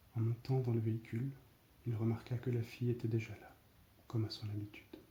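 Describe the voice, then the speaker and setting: A soft-spoken man talks fairly quickly in a medium pitch with a dark, mellow, somewhat breathy tone. His intonation is monotone and flat, though his loudness swings widely. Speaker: ASMR storyteller. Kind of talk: read story.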